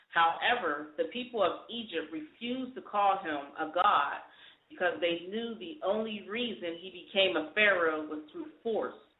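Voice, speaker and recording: There is audible echo in the room. Within it, a woman talks with lively intonation. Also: medium pitch for a woman, moderate pace, big swings in loudness. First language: not English. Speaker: radio co-host. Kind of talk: reading aloud. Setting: internet radio show. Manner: halting.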